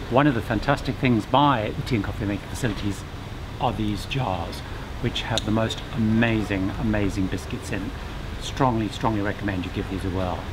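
Over noticeable background noise, a man speaks at a moderate pace with a fairly low pitch and ordinary pitch variation. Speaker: presenter. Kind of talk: tour commentary. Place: boat.

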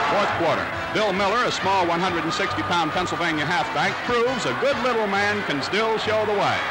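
Over background music, a man with a high voice talks at a fairly quick pace with hardly any pauses, very even loudness and ordinary pitch variation. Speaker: newsreel narrator. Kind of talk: newsreel sports commentary. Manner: brisk, lively. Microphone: old recording.

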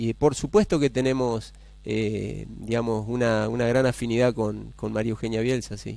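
A man speaks at a moderate pace. The sound is dry, with no echo. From Argentina, San Cristóbal, Santa Fe; Santa Fe, Argentina. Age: 40s. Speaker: mayoral candidate; candidate. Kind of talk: TV interview. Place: studio. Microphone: headset.

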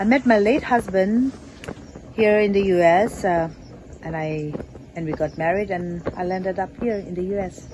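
A woman talks at a fairly slow pace, leaving long, frequent pauses. The sound is dry with no echo, and there is noticeable background noise. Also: medium pitch for a woman, ordinary pitch variation. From India, grew up in Shillong, Meghalaya (Naga family); India. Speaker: local election candidate; election candidate. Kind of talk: interview. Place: garden.

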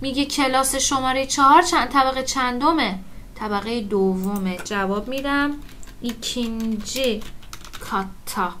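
A woman with a high pitch and ordinary pitch variation speaks at a moderate pace over light background noise. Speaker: Turkish language teacher. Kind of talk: lecture. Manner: informal, explanatory. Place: home room.

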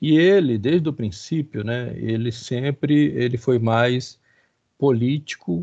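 The man's medium-pitched voice moves very slowly, its pitch varying in an ordinary way. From Rio de Janeiro, Brazil. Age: 50s. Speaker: professor. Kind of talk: lecture. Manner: halting.

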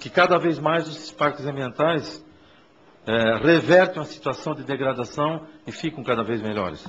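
At a moderate pace, the speech shows ordinary pitch variation and big swings in loudness against noticeable background noise. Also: man, fairly high pitch for a man. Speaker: tourism official. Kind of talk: formal public hearing speech.

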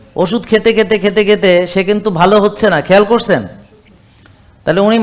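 A man with a high-pitched voice. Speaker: doctor. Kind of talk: patient testimonial interview.

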